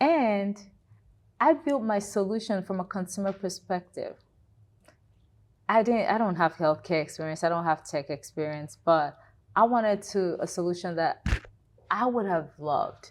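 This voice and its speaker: On a very clean recording with a silent background, a woman with a Nigerian accent talks at a moderate pace and medium pitch, her intonation lively and her pauses long and frequent. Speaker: health tech founder and CEO. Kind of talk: interview.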